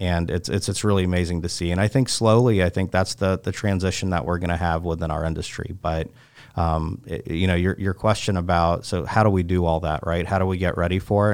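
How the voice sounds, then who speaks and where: Fairly quick and fairly even in intonation, a man speaks in a very deep, low voice. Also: hardly any pauses. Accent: American. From North Carolina, Chapel Hill. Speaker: equipment dealer executive. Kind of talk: interview. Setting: studio. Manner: halting.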